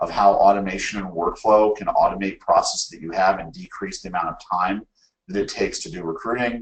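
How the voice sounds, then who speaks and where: The man here speaks at a fairly quick pace. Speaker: webinar presenter. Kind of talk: webinar presentation. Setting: online webinar. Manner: fast; animated.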